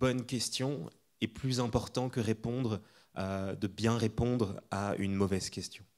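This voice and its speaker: A man's voice with ordinary pitch variation. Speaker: architect. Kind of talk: lecture. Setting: lecture hall with audience.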